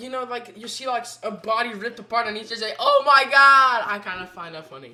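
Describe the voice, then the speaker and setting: Against noticeable background noise, a woman talks at a fairly quick pace in a high voice with an animated tone. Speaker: podcast co-host. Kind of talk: casual chat.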